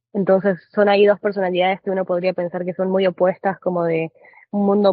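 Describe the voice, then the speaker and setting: In an Argentine accent, the speaker moves at a fairly quick pace with monotone, flat intonation. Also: woman. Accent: Argentine Spanish (voseo). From Argentina. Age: 20s. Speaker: trader. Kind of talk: podcast interview.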